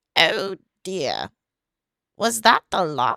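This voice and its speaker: Someone performs a put-on character voice at a middle pitch. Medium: solo performance. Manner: soft, courteous.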